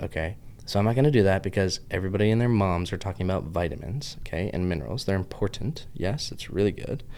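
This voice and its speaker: A man's very deep, low voice at a very fast pace. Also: lively intonation. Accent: Southern US. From US, Pittsburgh. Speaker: health podcaster. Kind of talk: casual vlog monologue. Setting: office with camera. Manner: animated, rambling.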